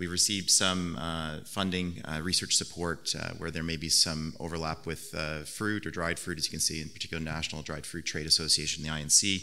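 A man with a very deep, low pitch talks at a fairly quick pace, flat and monotone, with hardly any pauses. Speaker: conference presenter. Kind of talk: lecture. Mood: light, joking. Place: hall. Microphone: podium.

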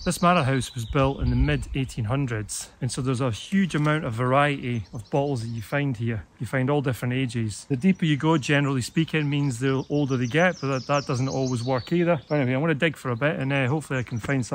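Over light background noise, a man talks at a very fast pace with hardly any pauses, ordinary pitch variation and a dry sound with no echo. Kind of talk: casual vlog chat. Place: forest. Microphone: phone near.

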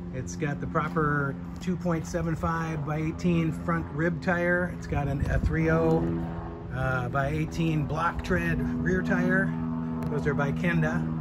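A man's voice at a fairly slow pace, with loud music in the background. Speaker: seller who restored the motorcycle. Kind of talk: walkaround commentary. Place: street. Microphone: phone near.

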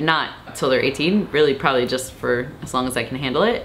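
Ordinary pitch variation from a woman speaking. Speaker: new mother vlogger. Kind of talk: casual vlog chat. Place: home room.

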